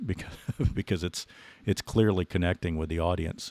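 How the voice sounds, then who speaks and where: A man speaks at a very deep, low pitch with fairly even intonation. The recording is very clean and dry, close with no echo and a silent background. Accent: slight Southern US. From Texas. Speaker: podcast host. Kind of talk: podcast interview.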